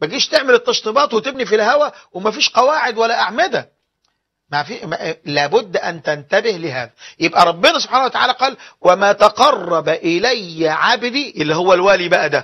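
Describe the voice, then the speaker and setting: A man with an Egyptian accent, high in pitch with very wide pitch swings, at a moderate pace against a quiet background. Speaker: Islamic preacher. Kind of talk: religious lecture. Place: studio. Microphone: lapel.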